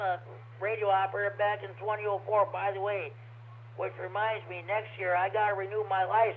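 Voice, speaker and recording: In an American accent, a man talks at a fairly quick pace with a high pitch. His voice swings very widely in pitch. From US Midwest (northern Illinois). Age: 70s. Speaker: ham radio net controller. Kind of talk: radio net chat. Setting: amateur radio transmission. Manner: halting, many fillers and repeats.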